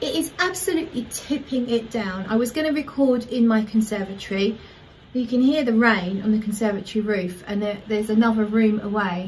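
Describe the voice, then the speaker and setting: Here a woman speaks at a moderate pace. Her pitch varies in an ordinary way. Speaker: perfume reviewer. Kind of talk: casual vlog chat. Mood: warm, enthusiastic. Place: home room. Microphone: phone near.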